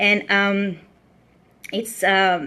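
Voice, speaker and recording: A woman speaks with a Mexican accent. Her tone is bright and sharp, her pitch fairly high. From Mexico. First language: Spanish. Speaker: vlogger sharing personal mental health story. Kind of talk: personal testimony livestream. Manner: halting, with many fillers.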